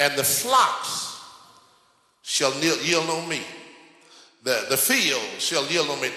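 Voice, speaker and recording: Speech at a very slow pace with lively intonation comes through noticeable background noise. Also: man. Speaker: Baptist pastor. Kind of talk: sermon. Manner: energetic.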